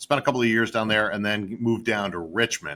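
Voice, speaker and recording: On a very clean recording with a silent background, a man with an upstate New York accent speaks at a fairly low pitch with ordinary variation and a bright, sharp tone. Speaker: M&A advisor. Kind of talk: interview.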